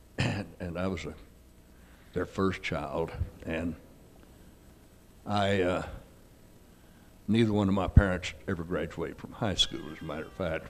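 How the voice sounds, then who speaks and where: In a Texan accent, a man speaks at a moderate pace in a very deep, low voice with fairly even intonation and long, frequent pauses. His loudness swings widely, and the room echo is audible. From Texas. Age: 80s+. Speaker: philanthropist and businessman. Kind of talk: stage interview. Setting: stage with audience.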